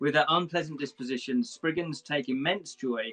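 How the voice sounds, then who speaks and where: Music plays in the background as a man speaks. His pitch is fairly high and his pace moderate. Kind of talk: casual live stream chat. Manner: mumbly.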